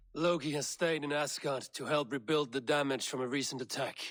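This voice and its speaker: Putting on a character voice, a man talks at a fairly quick pace with a fairly high pitch. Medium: video game. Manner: grave, formal.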